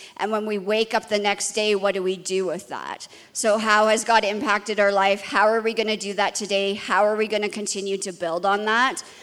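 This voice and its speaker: At a fairly quick pace with hardly any pauses, a woman speaks in a medium pitch with monotone, flat intonation. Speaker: ministry school leader. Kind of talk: church panel discussion. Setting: stage with audience.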